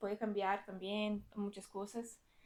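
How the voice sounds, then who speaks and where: Speaking at a fairly slow pace, a woman talks with a Brazilian accent. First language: Portuguese (speaking Spanish). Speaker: data engineering team lead, conference speaker. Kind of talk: technical talk at meetup. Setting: lecture room with audience. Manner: halting, many fillers and restarts.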